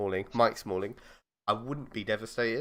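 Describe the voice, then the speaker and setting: An animated tone comes through. The audio is very clean, with a silent background. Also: man. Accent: southern English. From southern England, East London area. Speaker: football fan podcast host. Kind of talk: casual chat.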